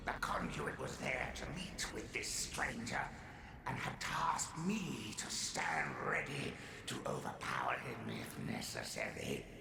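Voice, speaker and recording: A put-on character voice whispers at a fairly slow pace. Loud background noise and a slight echo surround it. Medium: machinima. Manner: theatrical, grandiloquent.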